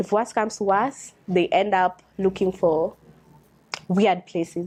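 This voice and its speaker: Speaking very slowly, a woman with a Kenyan accent uses a medium pitch. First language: a Kenyan language. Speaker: doctor. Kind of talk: reading aloud with commentary. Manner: halting.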